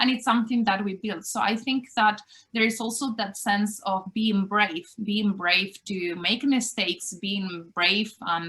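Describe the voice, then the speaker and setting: A woman with a Spanish accent, medium in pitch with ordinary pitch variation, bright and sharp in tone, at a fairly slow pace with hardly any pauses. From Spain. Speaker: university lecturer. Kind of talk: interview.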